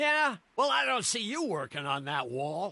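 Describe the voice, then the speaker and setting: Using a put-on character voice, a man speaks at a moderate pace. His high voice moves in very wide pitch swings. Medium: video game. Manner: gruff, combative.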